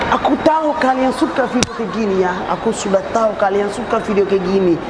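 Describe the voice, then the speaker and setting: Over crowd noise in the background and with audible room echo, a man with a Somali accent speaks at a moderate pace in a high pitch with ordinary pitch variation. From Somalia. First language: Somali (speaking Indonesian). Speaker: YouTube prankster. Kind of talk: prank vlog chat. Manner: halting.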